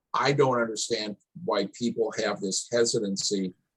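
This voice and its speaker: Recorded with a dry, close sound and no echo, a man speaks at a fairly slow pace. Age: 60s. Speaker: town hall panelist. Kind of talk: panel discussion. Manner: halting, repetitive starts.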